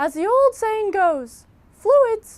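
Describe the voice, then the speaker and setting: This is a put-on character voice, squeaky and pitched extremely high. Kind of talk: instructional video host. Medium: comedy sketch. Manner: chipper, earnest.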